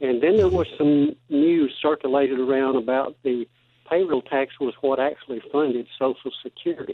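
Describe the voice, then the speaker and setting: An ordinary speaking voice moves at a moderate pace with fairly even intonation. The loudness stays very even. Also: man, fairly high pitch for a man. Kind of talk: interview.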